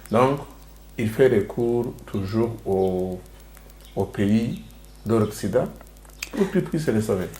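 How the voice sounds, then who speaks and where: With a Rwandan accent, a man talks at a very slow pace, leaving long, frequent pauses. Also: fairly low pitch for a man, ordinary pitch variation. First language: Kinyarwanda (speaking French). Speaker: show host. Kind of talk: interview discussion. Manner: hesitant, halting.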